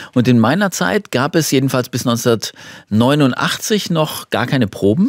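In a quiet background, a man's voice comes through dry with no echo. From Germany, Detmold (East Westphalia), moved to Swabia at ten; Germany. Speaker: Paralympic champion and horn player, former civil servant; talk show guest. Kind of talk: talk show interview. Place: studio. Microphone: studio mic.

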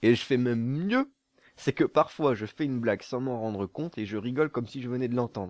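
Over a quiet background, a man talks at a fairly quick pace with ordinary pitch variation in a dry sound with no echo. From southern France. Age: 20s. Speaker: gaming YouTuber. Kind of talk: casual Q&A monologue. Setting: studio. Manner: relaxed, laughing. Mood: playful, joking. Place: home room. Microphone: studio mic.

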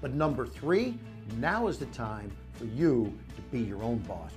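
A man at a moderate pace with very wide pitch swings, clear music in the background. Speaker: entrepreneur, TV businessman. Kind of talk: infomercial endorsement. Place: meeting room. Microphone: lapel.

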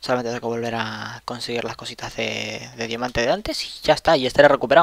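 Here a man talks at a very fast pace with fairly even intonation. His medium-pitched voice sounds dry and close, with no echo. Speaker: gaming youtuber. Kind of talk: gameplay commentary. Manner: casual, rambling with repetitions.

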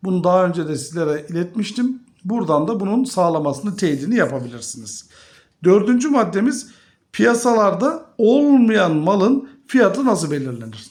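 This man's voice is high in pitch. It moves through very wide pitch swings. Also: moderate pace. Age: 50s. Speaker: finance YouTuber. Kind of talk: video monologue on investing.

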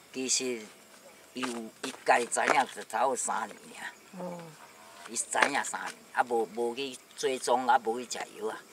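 The speech moves at a moderate pace with long, frequent pauses. Loud background noise sits under a dry sound with no echo. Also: man. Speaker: orchard farmer; interviewee. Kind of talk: casual chat. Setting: outdoors. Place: open country. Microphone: camera far.

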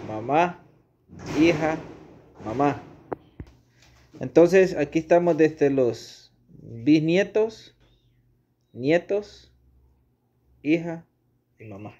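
A man's fairly high-pitched voice, dark and mellow in tone, with lively intonation, long and frequent pauses, and a very slow pace

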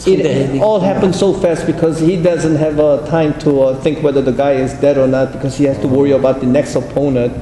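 A fairly high-pitched man at a fairly quick pace, fairly even intonation, noticeable background noise. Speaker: interpreter. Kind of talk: spoken interpretation. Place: meeting room.

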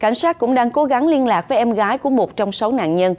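A woman's fairly high, lively voice, a normal speaking voice, set against a quiet background. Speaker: news anchor. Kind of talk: news reading. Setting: studio. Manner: formal.

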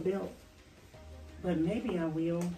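Clear music plays behind a woman speaking in a room with audible echo. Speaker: vlogger. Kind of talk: casual vlog chat. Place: home room. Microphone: camera far.

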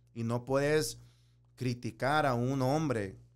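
A man speaks at a very slow pace with a medium pitch. His pitch varies in an ordinary way. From El Salvador, moved to US at six. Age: 30s. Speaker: business owner; interview guest. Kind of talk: interview. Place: studio. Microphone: studio mic.

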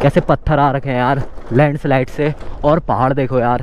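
The dry, echo-free recording captures a man speaking at a moderate pace. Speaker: motovlogger. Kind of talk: casual vlog commentary while riding. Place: motorbike. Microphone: helmet.

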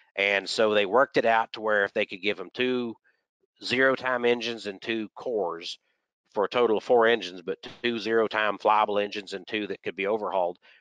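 Recorded with a dry, close sound and no echo over a quiet background, a man speaks in a Texan accent. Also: fairly low pitch for a man, fairly quick pace. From Texas. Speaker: aviation historian and aircraft mechanic. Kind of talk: lecture. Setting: video call.

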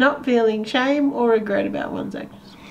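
Her pitch is fairly high for a woman, with ordinary pitch variation and a moderate pace.

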